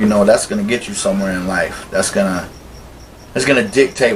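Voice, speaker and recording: Over noticeable background noise, a man speaks with an American accent at a fairly low pitch. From South Carolina. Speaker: documentary interviewee. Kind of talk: interview testimony. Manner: casual.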